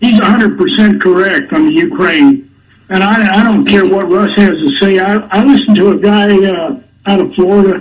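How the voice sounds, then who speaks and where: With lively intonation, a man speaks at a moderate pace in a high voice. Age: 70s. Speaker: regular caller to a radio show. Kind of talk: call-in radio conversation. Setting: phone call.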